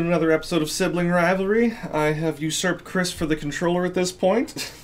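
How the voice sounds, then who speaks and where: A man talks at a very fast pace with hardly any pauses. His high pitch stays fairly even against noticeable background noise. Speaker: gaming let's play commentator. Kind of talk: casual gameplay commentary.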